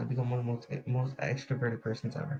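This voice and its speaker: Quiet and somewhat breathy, a man's medium-pitched voice has a dark, mellow tone. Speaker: podcast host. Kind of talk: casual podcast monologue. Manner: quiet, subdued.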